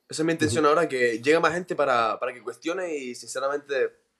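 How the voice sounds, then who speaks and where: Very fast pace and ordinary pitch variation from a man. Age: 20s. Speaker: podcaster. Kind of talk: interview.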